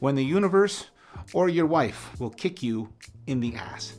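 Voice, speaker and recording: With music playing in the background, a man with a Canadian accent speaks with lively intonation. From Canada. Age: 50s. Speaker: author and motivational speaker. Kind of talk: scripted advice monologue.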